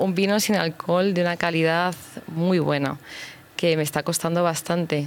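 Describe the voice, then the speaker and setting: Woman at a moderate pace, fairly low in pitch, with ordinary pitch variation. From Madrid, Spain. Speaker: business owner. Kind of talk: radio interview. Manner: halting.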